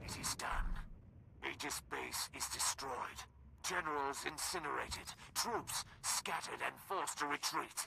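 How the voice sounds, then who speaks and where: A man performs in a put-on character voice with long, frequent pauses. Clear background noise runs underneath. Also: fairly high pitch for a man, moderate pace. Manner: happy, cheerful.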